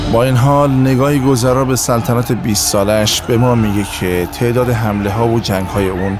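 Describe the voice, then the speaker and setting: Music plays behind a man who speaks fairly quickly at a medium pitch with ordinary pitch variation. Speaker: voice actor. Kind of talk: history documentary narration.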